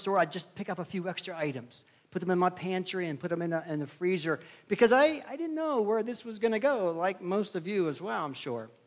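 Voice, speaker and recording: A man with an American accent talks at a very fast pace in a high voice. His pitch swings very widely. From Pennsylvania (Somerset). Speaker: preacher. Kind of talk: sermon.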